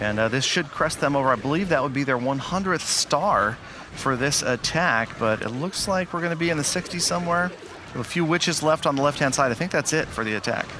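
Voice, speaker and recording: Over noticeable background noise, a man with a fairly high voice talks at a fairly quick pace with lively intonation. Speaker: esports commentator. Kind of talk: live commentary. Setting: studio. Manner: animated.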